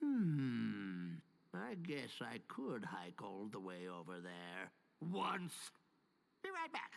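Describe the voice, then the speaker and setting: A man in a put-on character voice, fairly low in pitch, at a very slow pace with long, frequent pauses. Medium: video game. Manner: grumpy, impatient.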